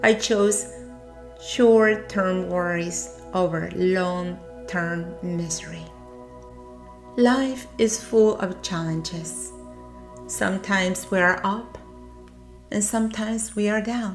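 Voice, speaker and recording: With music in the background, a woman with a non-native accent speaks at a very slow pace, leaving long, frequent pauses. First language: not English. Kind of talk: personal motivational narration.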